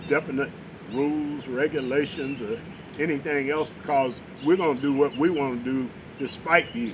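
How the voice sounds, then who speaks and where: Against noticeable background noise, a man with a fairly high pitch speaks at a moderate pace with fairly even intonation. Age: 70s. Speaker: talk show host. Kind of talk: political discussion.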